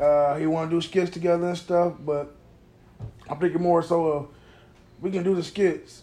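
With an American accent, a man speaks at a moderate pace in a high pitch for a man, his dark, mellow tone held in a monotone, flat intonation and broken by long, frequent pauses. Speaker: comedian and podcast host. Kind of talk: casual chat. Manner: monotone on stage, by his own account.

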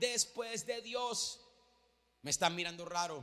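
In a raised, projected voice, a man with an extremely high pitch speaks in an animated tone with ordinary pitch variation. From Venezuela. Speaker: pastor. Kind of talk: sermon. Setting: church.

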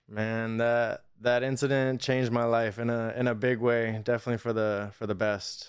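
Against noticeable background noise, a man with an American accent speaks at a moderate pace in a medium-pitched, monotone, flat voice with hardly any pauses. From Riverside, Inland Empire, California. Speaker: cannabis product company founder. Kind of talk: casual chat.

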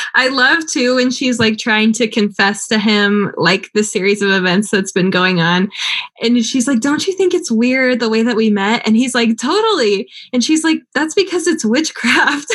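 In a very clean recording with a silent background, a woman with a normal speaking voice and fairly high pitch talks at a moderate pace, her intonation lively and her loudness very even. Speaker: podcast co-host and grad student. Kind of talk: casual chat about a movie. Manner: casual, laughs often.

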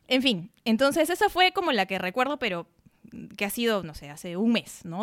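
The sound is dry and close, with no echo. A woman with a fairly high pitch makes very wide pitch swings and big swings in loudness. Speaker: podcast co-host, lawyer. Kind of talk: casual chat.

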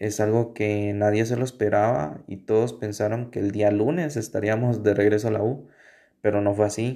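With a Guatemalan accent, a man speaks at a moderate pace in a fairly low voice with ordinary pitch variation. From Guatemala, Sololá. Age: 20s. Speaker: university student. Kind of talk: personal testimony. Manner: halting.

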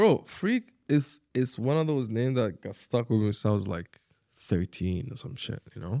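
Dark and mellow in tone, a man's medium-pitched voice moves at a moderate pace with lively intonation, in a dry, close sound with no echo. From Sharjah, UAE. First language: Arabic. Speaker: rapper and former skateboarder. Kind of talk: casual interview chat. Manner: animated, filler-heavy, repeats words.

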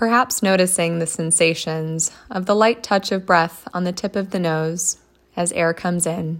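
An ordinary speaking voice from a woman, fairly low-pitched with fairly even intonation, on a very clean recording with a silent background. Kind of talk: guided meditation. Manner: slow, calm and gentle, with long pauses; soothing, soft-spoken.

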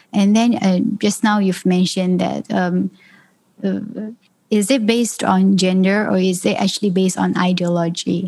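A woman speaks at a moderate pace in a somewhat breathy, dark, mellow voice of medium pitch, with monotone, flat intonation and very even loudness. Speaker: state politician. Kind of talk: interview discussion. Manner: soft-spoken.

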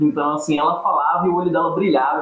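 There is noticeable background noise. A man speaks at a fairly quick pace and a high pitch. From Paraíba, Brazilian Northeast. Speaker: literature scholar. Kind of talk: casual chat.

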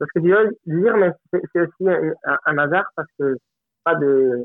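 A man speaks with a Spanish accent. His pace is very slow. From Colombia. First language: Spanish (speaking French). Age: 30s. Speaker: film director. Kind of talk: interview. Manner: halting.

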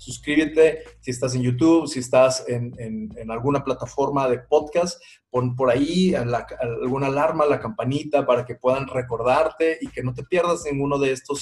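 A somewhat breathy man at a fairly high pitch, with a moderate pace and ordinary pitch variation. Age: 40s. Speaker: parenting podcast host. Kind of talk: podcast monologue.

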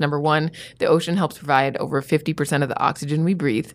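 A woman with an American accent talks at a very fast pace. Her pitch is very deep and low. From Miami, Florida. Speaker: science TV host. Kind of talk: casual interview chat.

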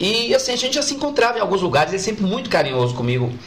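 A man speaks with very wide pitch swings. Noticeable background noise runs beneath him. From Brazil, Bahia (Feira de Santana). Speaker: musician and comedian. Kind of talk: casual interview chat. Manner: halting, repeated words.

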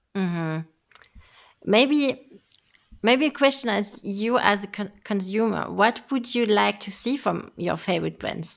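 Her pitch medium and its variation ordinary, a woman speaks at a fairly slow pace with a French accent. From France. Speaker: marketing manager and podcast host. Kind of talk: casual chat.

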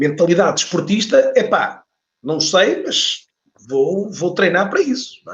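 A man speaks at a fairly slow pace. His loudness swings widely. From Portugal, Porto. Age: 40s. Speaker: LinkedIn trainer and author. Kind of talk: casual interview. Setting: online live stream.

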